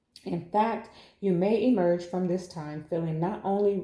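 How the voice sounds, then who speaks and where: Audible room echo follows a woman as she talks at a fairly slow pace. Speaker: tarot reader. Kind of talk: tarot reading. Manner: halting, repeats words.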